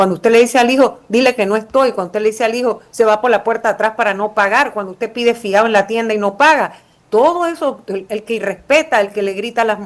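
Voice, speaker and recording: Talking very fast with hardly any pauses, a woman uses ordinary pitch variation. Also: fairly high pitch for a woman. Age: 60s. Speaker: former prosecutor and politician. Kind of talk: interview.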